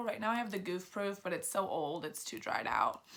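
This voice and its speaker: Bright, sharp tone in a woman's voice of medium pitch. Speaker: beauty vlogger. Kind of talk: casual product review.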